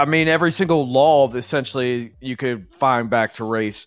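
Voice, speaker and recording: Male voice of medium pitch, an ordinary speaking voice with ordinary pitch variation and a moderate pace, on a very clean recording with a silent background. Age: 30s. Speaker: podcast co-host. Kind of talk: casual chat.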